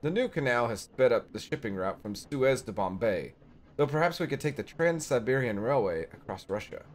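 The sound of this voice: Lively intonation in an unforced reading voice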